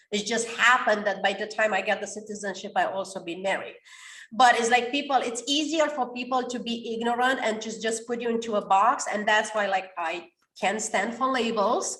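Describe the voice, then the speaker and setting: Speaking at a fairly quick pace with a non-native accent, a woman uses a fairly high, bright, sharp voice with an energetic tone and ordinary pitch variation. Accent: non-native English, mispronounces words. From Romania. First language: Romanian. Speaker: author and coach. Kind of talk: podcast interview.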